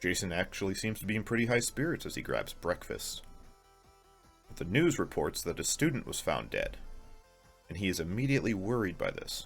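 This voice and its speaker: With music in the background, a man talks at a fairly quick pace in a playful tone, leaving long, frequent pauses. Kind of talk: casual video essay commentary. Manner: playful, sarcastic.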